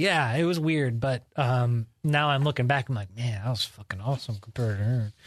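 A somewhat breathy man at a fairly quick pace, with a quiet background. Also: medium pitch for a man, ordinary pitch variation, hardly any pauses. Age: 30s. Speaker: podcast co-host. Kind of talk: casual chat.

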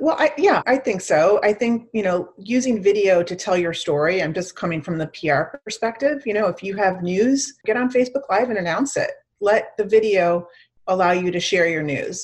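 With an American accent and an ordinary speaking voice, a woman speaks at a moderate pace and medium pitch with lively intonation. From Chicago suburbs and Miami. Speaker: PR agency founder. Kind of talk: interview.

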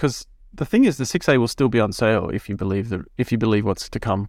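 Here is a man with a normal speaking voice and medium pitch. He moves at a fairly quick pace with ordinary pitch variation. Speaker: podcast co-host. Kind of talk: casual chat. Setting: remote recording, virtual room.

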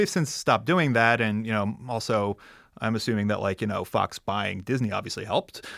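On a very clean recording with a silent background, a man with an ordinary speaking voice talks at a fairly quick pace, his medium pitch showing ordinary variation. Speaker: comics expert. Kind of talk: casual chat.

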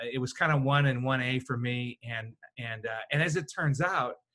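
In a Chicago accent, a man speaks with a bright, sharp tone at a medium pitch and ordinary pitch variation. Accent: Chicago American. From Chicago southwest side, US. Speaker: communications consultant. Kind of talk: interview.

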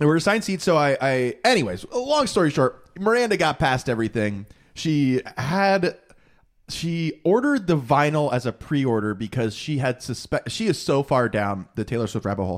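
A man with a fairly high pitch talks at a moderate pace with very wide pitch swings, recorded very cleanly against a silent background. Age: 30s. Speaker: podcast host. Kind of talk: casual chat. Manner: joking.

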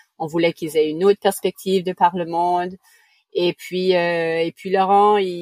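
Speaking at a moderate pace in an Acadian accent, a woman has a dark, mellow tone and a dry, close sound with no echo. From New Brunswick, Canada (Acadian). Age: 40s. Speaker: sailor, family living aboard. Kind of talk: interview.

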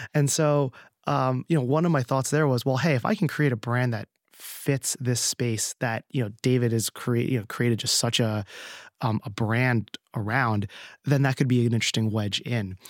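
A man with a New Jersey accent speaks at a medium pitch and moderate pace with ordinary pitch variation, the sound dry and close with no echo on a very clean recording with a silent background. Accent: American (New Jersey). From US East Coast, New Jersey. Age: 30s. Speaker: beverage company founder. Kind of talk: interview. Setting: studio.

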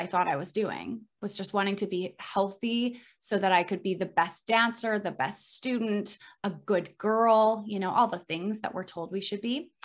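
An ordinary speaking voice from a woman with fairly high pitch and ordinary pitch variation, at a fairly slow pace, on a very clean recording with a silent background. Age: 30s. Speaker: health coach. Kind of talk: interview.

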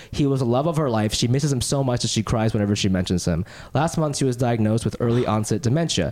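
A man with a medium pitch talks at a very fast pace. His intonation is lively and his tone animated and playful. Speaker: podcast host and stand-up comedian. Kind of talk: casual chat. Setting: studio. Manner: animated, playful.

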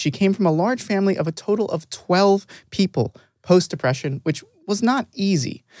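Speaking at a moderate pace, a man with an ordinary speaking voice uses lively intonation in a dry, close sound with no echo. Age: 20s. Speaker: podcast host. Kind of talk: scripted introduction; casual interview.

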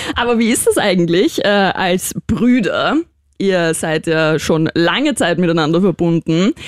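This woman talks at a fairly slow pace in a fairly low voice with lively intonation. Her loudness stays very even, and the sound is dry and close with no echo. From Austria, Vienna. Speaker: radio and podcast host. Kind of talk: casual interview. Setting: studio.

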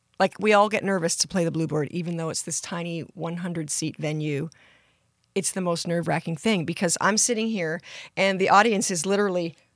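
The speaker has a Canadian accent and a fairly quick pace, with ordinary pitch variation. It is a very clean recording with a silent background. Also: woman. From Canada, British Columbia (Surrey). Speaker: country singer. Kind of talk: casual interview. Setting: studio. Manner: animated.

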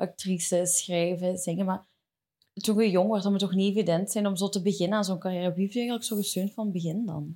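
A woman speaks very fast in a Flemish accent, her pitch medium. Her tone is dark and mellow, with flat, monotone intonation. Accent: Flemish Dutch. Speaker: podcast host. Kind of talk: casual chat. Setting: studio.

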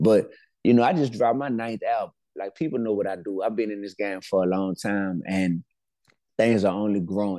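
A man speaks in a New Orleans accent, his pitch fairly low with ordinary variation. His tone is dark and mellow over a quiet background. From New Orleans, Louisiana. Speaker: rapper and educator. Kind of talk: interview.

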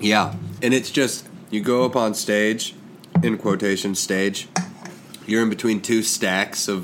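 Amid noticeable background noise, a man speaks at a fairly slow pace in a fairly low pitch, with long, frequent pauses, fairly even intonation and very even loudness. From Kentucky. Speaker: comedian and podcast co-host. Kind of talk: casual chat.

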